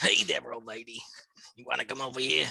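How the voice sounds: In a put-on character voice, the speaker sounds raspy and gravelly, with a low-to-middle pitch and a fairly quick pace.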